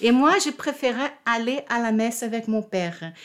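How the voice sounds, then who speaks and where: Talking fairly slowly, a woman speaks with a Portuguese accent. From Brazil, Rio de Janeiro. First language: Portuguese (speaking French). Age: 60s. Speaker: retired diplomat and convert to Judaism. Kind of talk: personal testimony interview. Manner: halting, with repetitions.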